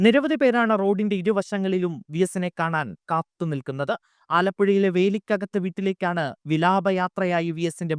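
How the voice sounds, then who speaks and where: The sound is dry and close, with no echo. A man speaks in a high pitch with ordinary variation. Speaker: news anchor. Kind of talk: news reading. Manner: formal.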